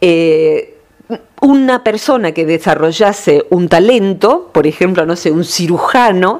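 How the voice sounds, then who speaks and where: Through noticeable background noise, a woman's medium-pitched voice rises and falls with lively intonation. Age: 50s. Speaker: radio columnist. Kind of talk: radio talk segment.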